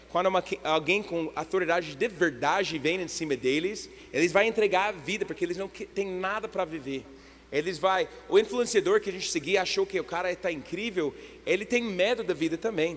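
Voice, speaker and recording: A man with an English accent speaks in a high pitch. His pace is moderate and his pitch variation ordinary. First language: English (speaking Portuguese). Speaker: guest preacher. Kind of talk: sermon. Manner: halting.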